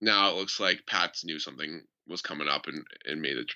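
With vocal fry and a bright, sharp tone, a man talks at a fairly quick pace and ordinary pitch variation against a quiet background. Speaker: podcast host. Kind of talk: casual chat. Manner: casual, joking.

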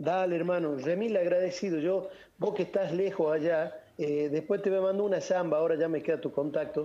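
Delivered at a fairly quick pace, the voice has a dark, mellow tone, fairly even intonation and very even loudness. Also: man, high pitch for a man. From Argentina, Salta (northwest). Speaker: folk singer. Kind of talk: radio interview.

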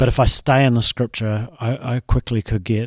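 In a normal speaking voice, a man talks at a medium pitch with fairly even intonation, the sound dry and close with no echo on a very clean recording with a silent background. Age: middle-aged. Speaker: pastor. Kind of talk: casual discussion.

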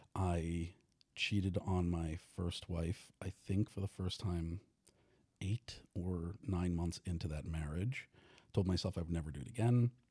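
Speaking with an American accent at a fairly slow pace, a man with a very deep, low pitch uses ordinary pitch variation in a somewhat breathy voice of dark, mellow tone. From New York. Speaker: author and sex and relationship educator. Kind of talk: casual interview. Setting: studio.

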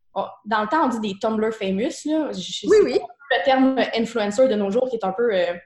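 A woman with a Quebec accent speaks at a moderate pace, her fairly high pitch showing ordinary variation. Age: 20s. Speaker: fashion entrepreneur. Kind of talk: interview.

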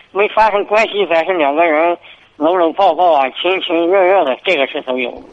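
A man's high voice at a moderate pace. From Hebei, Xingtai. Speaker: radio call-in caller. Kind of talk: call-in advice conversation. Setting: phone call. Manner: halting. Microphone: too quiet on the line.

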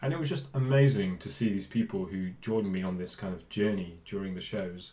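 A man with a Bristol accent, dark and mellow in tone, lively in intonation, at a fairly quick pace. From England, Bristol area. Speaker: DJ and music producer. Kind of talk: casual interview chat. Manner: hesitant, many fillers.

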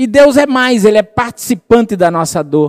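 Recorded dry and close with no echo, a man speaks in a high pitch with very wide pitch swings and a warm yet dark, mellow tone. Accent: Brazilian. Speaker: preacher. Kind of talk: sermon. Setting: church with congregation. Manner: warm, fervent preaching, rhetorical questions to the congregation.

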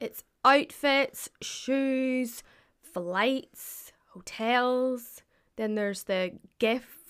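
With a Northern Irish accent, a woman speaks at a very slow pace in a high pitch with ordinary pitch variation, on a very clean recording with a silent background. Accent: Northern Irish (County Antrim). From Northern Ireland, Glens of Antrim. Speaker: friend of the host. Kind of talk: casual chat.

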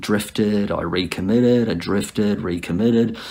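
Speaking with an Australian accent, a man uses a fairly low pitch, ordinary pitch variation and a moderate pace. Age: 50s. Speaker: church member sharing testimony. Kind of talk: recorded testimony to camera. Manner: halting.

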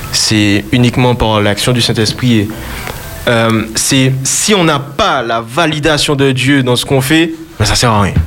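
At a very slow pace and very even loudness, a man talks at medium pitch with ordinary pitch variation, amid noticeable background noise and audible room echo. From Martinique. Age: 20s. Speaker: gospel singer. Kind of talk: radio interview. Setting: studio.

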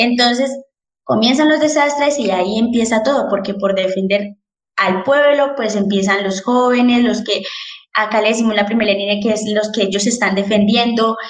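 A woman speaks at a moderate pace in a fairly high pitch, with ordinary pitch variation and very even loudness. Room echo can be heard. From Colombia, Popayán (Cauca). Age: 20s. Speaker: architect. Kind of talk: interview about current protests.

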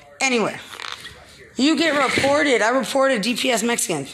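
Noticeable background noise sits behind a woman with an American accent and a high pitch. She sounds animated, moving at a fairly quick pace with ordinary pitch variation. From Texas. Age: 40s. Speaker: podcaster. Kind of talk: monologue rant.

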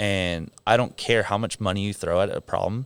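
A man speaks with an American accent at a moderate pace and fairly low pitch. He has a plain, everyday voice. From southern California, San Clemente. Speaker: gym head coach. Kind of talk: casual interview chat. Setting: studio podcast.

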